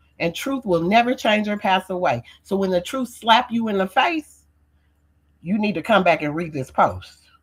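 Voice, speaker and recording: Animated and somewhat breathy, a woman of medium pitch speaks at a moderate pace with lively intonation. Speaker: livestreamer. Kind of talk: casual livestream monologue. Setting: livestream.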